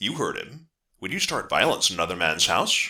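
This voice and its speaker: A put-on character voice moves at a fairly quick pace in a very clean recording with a silent background. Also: man, very deep, low pitch for a man. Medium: actual play. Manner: sly, insinuating.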